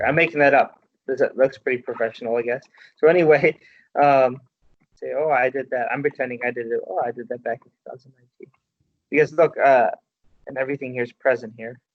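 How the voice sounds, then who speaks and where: This man talks at a very fast pace, broken by long, frequent pauses. His loudness swings widely while his intonation stays fairly even. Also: medium pitch for a man. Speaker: workshop facilitator teaching resume writing. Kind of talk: workshop presentation.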